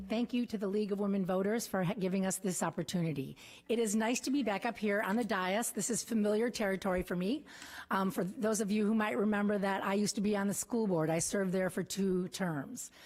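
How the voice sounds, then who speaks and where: Very fast and very even in loudness, a woman talks with a slight Wisconsin accent. The recording is very clean, with a silent background. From rural Wisconsin. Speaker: political candidate. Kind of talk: opening statement. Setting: council chambers with audience.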